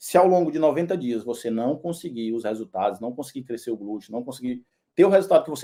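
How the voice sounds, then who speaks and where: With a northeastern Brazilian accent, a man talks at a fairly quick pace, his medium pitch showing ordinary variation. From Northeast Brazil, Teresina, Piauí. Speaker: personal trainer. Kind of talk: sales pitch. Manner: casual, with fillers and repetitions.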